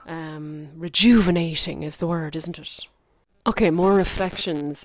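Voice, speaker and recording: Fairly slow delivery with fairly even intonation and big swings in loudness. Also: woman, fairly low pitch for a woman. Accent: strong rural Irish. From rural Ireland. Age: 30s. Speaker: spiritual podcast host. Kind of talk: reflective monologue. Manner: casual, conversational.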